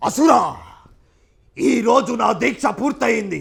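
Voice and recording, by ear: A man's put-on character voice, raspy and menacing, at an extremely high pitch.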